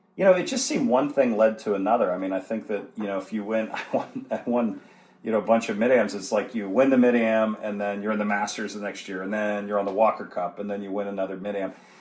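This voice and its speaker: Noticeable background noise runs behind a man with an American accent talking very fast with hardly any pauses. His voice is fairly low and his intonation fairly even. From Western Pennsylvania (Brookville). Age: 40s. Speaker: amateur golfer. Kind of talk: interview conversation.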